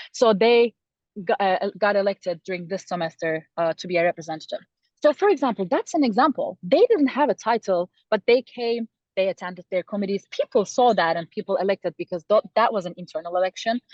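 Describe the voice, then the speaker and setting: A woman with a Turkish accent, medium pitch, lively intonation and a fairly quick pace. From Turkey. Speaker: student election candidate. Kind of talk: interview. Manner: halting.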